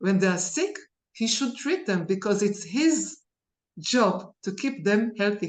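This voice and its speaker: Against a quiet background, a woman with a medium pitch and a somewhat breathy voice speaks at a fairly slow pace with lively intonation. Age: 60s. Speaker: alternative medicine therapist and lecturer. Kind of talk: interview. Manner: halting.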